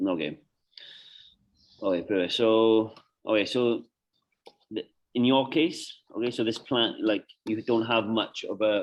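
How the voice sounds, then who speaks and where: With a British accent, a man talks at a fairly slow pace, leaving long, frequent pauses. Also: medium pitch for a man, ordinary pitch variation. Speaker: nutrition coach. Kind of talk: client consultation. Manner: halting; casual.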